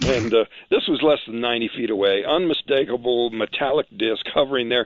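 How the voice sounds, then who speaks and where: A man with an American accent talks at a fairly quick pace. His medium pitch and ordinary pitch variation make for an ordinary speaking voice. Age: 60s. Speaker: interview guest, alleged alien abductee. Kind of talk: interview, personal account.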